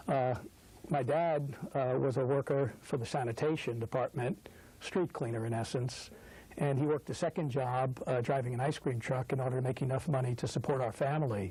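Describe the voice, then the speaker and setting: A man with an American accent speaks fairly quickly at a medium pitch, in a dark, mellow tone. His voice is somewhat breathy, with fairly even intonation and very even loudness. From New York City (Brooklyn). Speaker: business executive and trustee. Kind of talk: interview. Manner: hesitant, many filler words.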